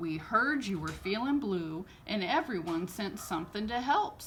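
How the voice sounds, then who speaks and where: Using a put-on character voice with a cheerful tone, a woman talks at a medium pitch and moderate pace over clear background noise. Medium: read story. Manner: folksy, cheerful.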